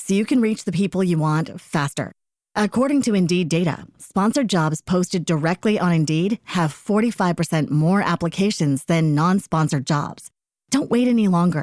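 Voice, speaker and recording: Recorded very cleanly with a silent background and a dry, close sound with no echo, a woman with a plain, everyday voice talks at a moderate pace with lively intonation. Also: fairly low pitch for a woman, very even loudness. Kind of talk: radio ad read.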